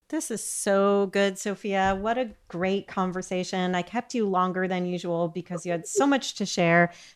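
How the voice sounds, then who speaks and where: A woman with an ordinary speaking voice talks at a moderate pace and medium pitch, using ordinary pitch variation and hardly any pauses, over a quiet background. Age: 50s. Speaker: podcast host, nutritionist. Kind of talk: interview.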